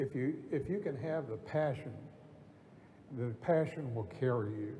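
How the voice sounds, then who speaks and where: A man with a medium pitch and a dark, mellow tone speaks at a fairly slow pace with lively intonation. Vocal fry and audible room echo come through. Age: 70s. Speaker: real estate broker. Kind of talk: on-stage interview. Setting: conference stage with audience. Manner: halting.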